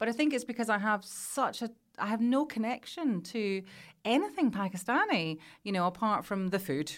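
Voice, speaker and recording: A woman's fairly high, lively voice in a Glasgow accent, on a very clean recording with a silent background. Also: moderate pace. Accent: Scottish (Glasgow). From Scotland (Glasgow area). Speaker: radio presenter and journalist. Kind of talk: casual interview chat.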